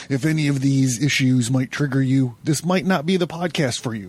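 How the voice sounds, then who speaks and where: Somewhat breathy, a man talks at a moderate pace. His pitch is fairly high, with ordinary pitch variation. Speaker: podcast host. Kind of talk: podcast monologue. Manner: animated.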